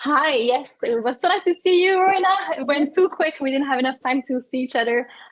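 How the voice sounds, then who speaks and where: A woman with a French accent speaks in a high pitch with lively intonation. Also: fairly quick pace. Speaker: business founder and consultant. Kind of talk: panel discussion.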